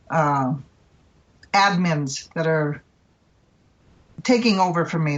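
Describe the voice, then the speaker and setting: This is a woman speaking. Her pitch is fairly low. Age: 60s. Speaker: patient advocate. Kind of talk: interview.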